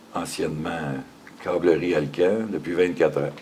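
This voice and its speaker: A man with a very deep, low pitch speaks at a fairly slow pace with ordinary pitch variation, amid noticeable background noise and audible room echo. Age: 60s. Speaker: factory worker. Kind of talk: interview.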